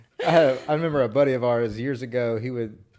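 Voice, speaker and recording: A man speaks with a Southern US accent. His pitch is medium and his intonation is monotone and flat. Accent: Southern US drawl. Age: 30s. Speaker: podcast co-host. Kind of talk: casual chat. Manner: slurred, words run together.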